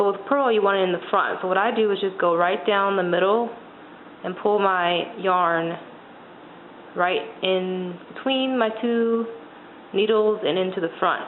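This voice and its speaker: A woman's fairly slow, fairly even delivery with long, frequent pauses, amid noticeable background noise and audible room echo. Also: medium pitch for a woman. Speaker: knitting instructor. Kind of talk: tutorial. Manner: hesitant.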